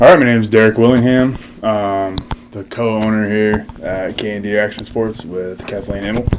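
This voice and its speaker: A man with a Texan accent and a fairly low pitch speaks at a moderate pace, with long, frequent pauses. His loudness swings widely, and background noise is noticeable. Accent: Texan American. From Texas, Seguin. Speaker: skate shop co-owner, military veteran. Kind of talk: interview. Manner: hesitant, many fillers.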